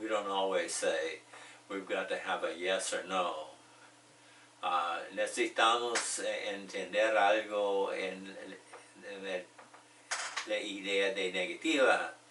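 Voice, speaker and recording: A man at a fairly slow pace, with long, frequent pauses and audible room echo. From United States. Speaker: ESL teacher. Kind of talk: tutorial. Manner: slow and repetitive.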